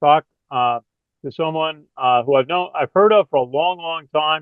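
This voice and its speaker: A man talks at a fairly slow pace in a plain, everyday voice. His pitch is fairly high, with ordinary pitch variation. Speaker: interviewer, business podcast host. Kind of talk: interview questions.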